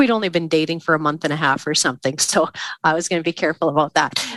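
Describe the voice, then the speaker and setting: A woman with a Canadian prairie accent speaks in a bright, sharp tone. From southern Saskatchewan, Canada. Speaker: grain farmer and speaker. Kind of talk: casual interview chat.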